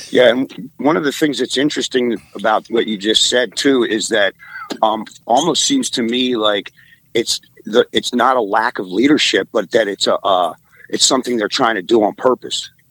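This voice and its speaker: Using a plain, everyday voice, a man speaks at medium pitch with ordinary pitch variation and a moderate pace, in a dry, close sound with no echo. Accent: American. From Maryland, US. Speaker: caller. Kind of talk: casual chat.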